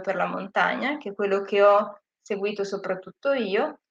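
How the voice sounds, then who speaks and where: A normal speaking voice from a woman, medium in pitch, moderate in pace, with fairly even intonation. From northern Italy, Lake Como (Gravedona). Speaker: sustainable tourism professional. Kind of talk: interview.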